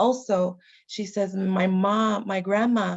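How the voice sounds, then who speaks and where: A woman's voice is heard. She talks at a medium pitch. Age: 30s. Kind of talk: webinar presentation.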